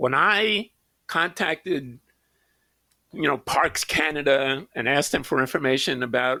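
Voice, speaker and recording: Speaking at a fairly slow pace, a man with an American accent has a fairly high voice with a bright, sharp tone. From New York City. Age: 80s+. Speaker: wilderness trekker. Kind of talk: casual chat.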